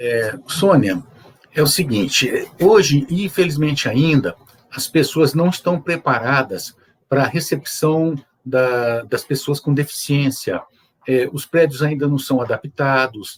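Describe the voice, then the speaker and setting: Somewhat breathy, a man talks very slowly in a fairly high pitch with ordinary pitch variation. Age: 60s. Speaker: judge and wheelchair user guest. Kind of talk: interview on accessibility. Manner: hesitant, many filler 'é'.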